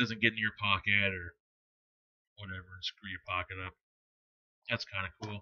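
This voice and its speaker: A mumbling man with a fairly low pitch, monotone, flat intonation, big swings in loudness, a moderate pace with long, frequent pauses, and a dry, close sound with no echo over a quiet background. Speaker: e-cigarette product reviewer. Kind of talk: product review. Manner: casual, hesitant with many fillers.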